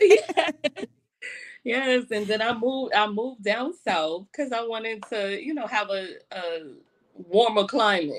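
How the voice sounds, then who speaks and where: A woman's fairly high voice in a New York accent, with lively intonation at a fairly slow pace. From New York, Brooklyn. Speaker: event producer and hospitality executive. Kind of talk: radio interview.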